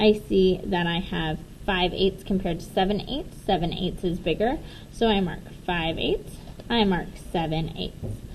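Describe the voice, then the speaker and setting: Audible room echo surrounds a woman whose voice is somewhat breathy. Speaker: teacher. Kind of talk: tutorial.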